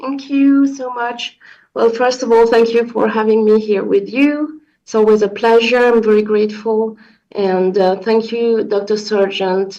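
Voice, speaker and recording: The speaker talks at a fairly slow pace with a French accent and fairly even intonation. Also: woman, fairly high pitch for a woman. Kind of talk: question at an online meeting. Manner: halting.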